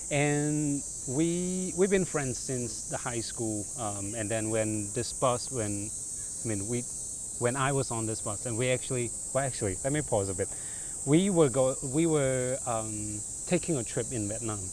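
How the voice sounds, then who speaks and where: This man speaks with a Chinese accent. His pace is fairly slow and his intonation lively. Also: medium pitch for a man. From southern China. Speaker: content creator doing a storytelling challenge. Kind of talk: storytelling to a stranger. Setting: outdoors in a park. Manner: halting.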